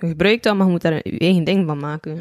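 A woman's dark, mellow tone in a dry, close recording with no echo. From Belgium, West Flanders. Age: 20s. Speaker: rapper. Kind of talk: casual chat.

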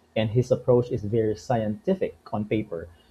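A man speaks at a moderate pace and a medium pitch. His voice is somewhat breathy. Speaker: podcast host. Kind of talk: casual interview.

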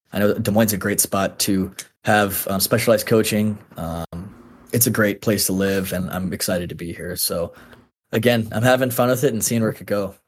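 A man with a plain, everyday voice and an American accent, fairly low in pitch, fairly quick, with fairly even intonation. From Texas, then North Carolina. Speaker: former college football kicker. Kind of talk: casual chat. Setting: video call.

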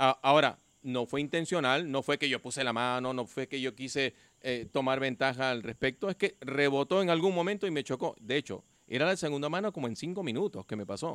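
A man with a plain, everyday voice, fairly high pitch and ordinary pitch variation. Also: dry, close sound with no echo. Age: 60s. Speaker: amateur soccer league player. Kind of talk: casual chat.

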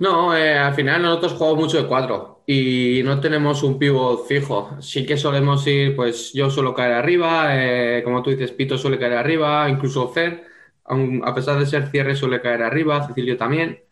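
A man with a fairly high pitch talks at a moderate pace with hardly any pauses, very even loudness and fairly even intonation. There is audible room echo. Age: 20s. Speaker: futsal player. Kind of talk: interview. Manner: halting.

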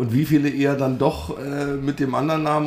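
A man speaks at a fairly quick pace in a fairly high pitch, with ordinary pitch variation and noticeable background noise. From Brandenburg. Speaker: podcast host. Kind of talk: casual chat.

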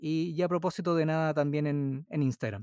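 On a very clean recording with a silent background, a man's voice sounds dry and close with no echo. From Chile. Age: 40s. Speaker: podcaster. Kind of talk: casual chat.

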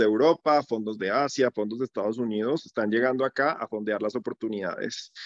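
The sound is dry and close with no echo, and the speech moves at a fairly slow pace with ordinary pitch variation. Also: man. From Colombia. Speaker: startup founder and CEO. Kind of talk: casual interview.

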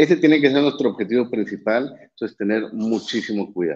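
This is a man speaking. His intonation is lively. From Mexico, Monterrey. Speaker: neurologist and professor. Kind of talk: live-streamed interview.

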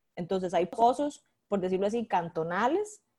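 The sound is close and dry, without echo. A woman talks in a dark, mellow tone. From Costa Rica, Limón province (Guápiles). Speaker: political adviser. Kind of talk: interview conversation.

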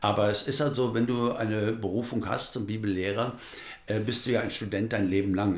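A man's somewhat breathy, fairly low voice at a fairly quick pace, with ordinary pitch variation and audible room echo. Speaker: pastor. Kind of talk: interview. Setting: studio.

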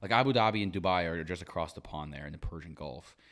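This man talks at a very fast pace with vocal fry. His pitch shows ordinary variation. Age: 20s. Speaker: podcast co-host. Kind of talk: casual chat.

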